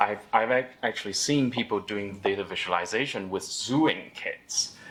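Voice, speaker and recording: A man talks at a fairly slow pace with lively intonation. Noticeable background noise runs behind him. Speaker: data meetup organizer and speaker. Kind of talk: tech meetup talk. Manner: halting, many fillers.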